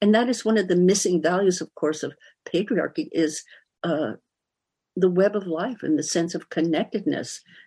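A dark, mellow tone at a moderate pace, with lively intonation, long, frequent pauses and a quiet background. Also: woman, medium pitch for a woman. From US West Coast (San Francisco Bay Area). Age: 70s. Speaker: author and art historian. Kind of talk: interview.

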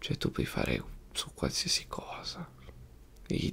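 The voice is soft-spoken. Its tone is relaxed. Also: man. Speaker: youtuber. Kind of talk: casual talk to camera. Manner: soft-spoken, relaxed. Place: home room. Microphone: studio mic.

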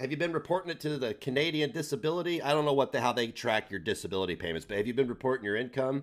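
Over a quiet background, a man with a fairly high pitch and vocal fry talks at a very fast pace with lively intonation and hardly any pauses. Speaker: livestream host. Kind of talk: casual livestream chat. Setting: live stream. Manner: crude and abrasive. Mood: critical, dismissive. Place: home room. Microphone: headset.

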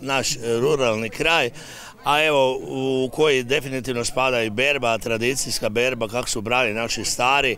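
A man speaks at a moderate pace with fairly even intonation. The sound is dry with no echo, with light background noise. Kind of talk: interview answer. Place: open country. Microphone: handheld.

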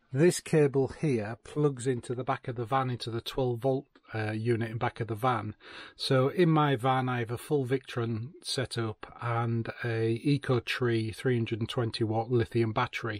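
A man speaks at a fairly slow pace with fairly even intonation. The sound is dry with no echo, over a quiet background. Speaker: van lifer reviewing gear. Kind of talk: product review tutorial. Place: car. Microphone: phone near.

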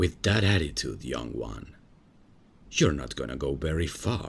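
A man puts on a character voice with an extremely low pitch, vocal fry, lively intonation and a fairly slow pace.

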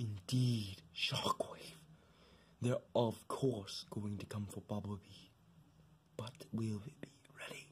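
A man puts on a character voice at a medium pitch. He talks at a fairly slow pace with long, frequent pauses. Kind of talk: fan-made stop-motion voice acting. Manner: menacing, threatening.

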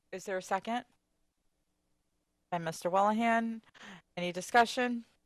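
Fairly even intonation and a moderate pace come across in a dry, close sound with no echo. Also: woman, fairly high pitch for a woman. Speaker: school committee chair. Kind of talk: public meeting procedure. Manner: halting.

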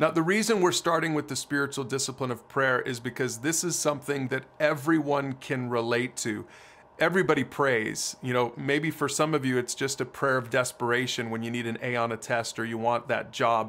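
With hardly any pauses, a man talks at a fairly quick pace with ordinary pitch variation. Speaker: ministry teacher. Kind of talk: teaching talk to camera. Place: home room.

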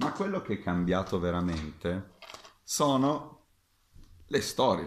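Very wide pitch swings mark this very slow delivery, broken by long, frequent pauses, with audible room echo and light background noise. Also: man, very deep, low pitch for a man. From Sicily, Catania. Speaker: fencing master. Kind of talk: video talk to camera. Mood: friendly, animated. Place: home room. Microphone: webcam.

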